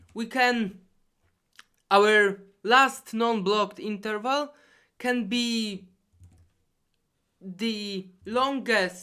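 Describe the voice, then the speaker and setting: A woman with a non-native accent speaks very slowly at a fairly high pitch, her bright, sharp tone held to fairly even intonation and broken by long, frequent pauses. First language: not English. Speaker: competitive programmer explaining solutions. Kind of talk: tutorial. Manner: halting.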